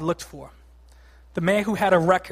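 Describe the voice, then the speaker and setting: Over a silent background in a very clean recording, a man with an American accent speaks at a fairly quick pace, with a high pitch and fairly even intonation. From Boston, Massachusetts. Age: 30s. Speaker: lay preacher. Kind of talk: sermon. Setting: church.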